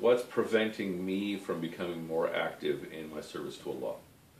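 A man talks with audible room echo and a light layer of background noise. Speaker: religious study teacher. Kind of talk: lecture. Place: home room. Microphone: camera far.

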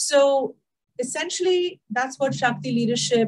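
A woman talks at a moderate pace, her voice somewhat breathy. The background stays quiet. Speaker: leadership coach guest speaker. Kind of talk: interview answer. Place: home room. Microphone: video call.

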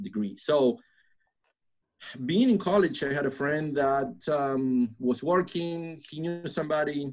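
Against a quiet background, a man speaks at a fairly slow pace with lively intonation. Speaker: guest. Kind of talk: interview answer. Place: office. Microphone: video call.

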